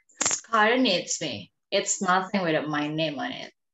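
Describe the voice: A woman uses a put-on character voice that is low-pitched with a fairly bright tone. Audible room echo surrounds her. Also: lively intonation, fairly slow pace.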